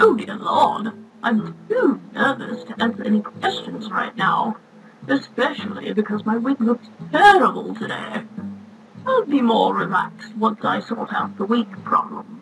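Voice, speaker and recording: A woman puts on a strained character voice at a fairly high pitch, speaking at a moderate pace. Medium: machinima. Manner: nervous, flustered.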